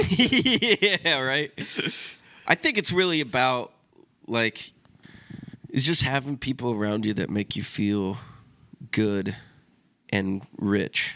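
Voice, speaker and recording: At a very slow pace with long, frequent pauses, a man speaks in a bright, sharp tone. His medium pitch moves through very wide swings. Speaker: podcast co-host. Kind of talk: casual chat. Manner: halting, delayed replies.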